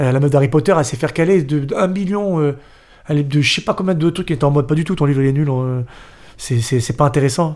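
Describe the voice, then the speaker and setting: His pitch is fairly high and varies in an ordinary way. The man rushes along at a very fast pace. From Paris northern suburbs. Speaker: dancer and actor. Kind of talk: podcast interview.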